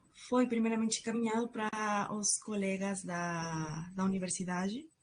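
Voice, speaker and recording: At a very slow pace, a woman speaks in a somewhat breathy voice at a medium pitch. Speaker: student researcher presenting a project. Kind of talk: conference presentation.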